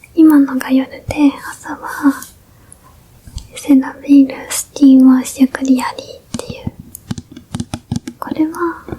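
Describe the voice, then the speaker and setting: Over noticeable background noise, a woman with a high pitch and gentle tone speaks at a fairly slow pace, with long, frequent pauses, big swings in loudness and ordinary pitch variation. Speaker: ASMR creator doing a big-sister role-play. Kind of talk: ASMR role-play, skincare routine explained to a younger sibling. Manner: gentle, soft whispery, friendly.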